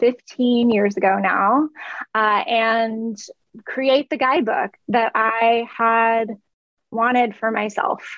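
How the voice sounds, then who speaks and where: At a very slow pace, a woman speaks with a fairly high pitch and very even loudness. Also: ordinary pitch variation. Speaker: clairvoyant healer and meditation teacher. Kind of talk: interview conversation. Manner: calm.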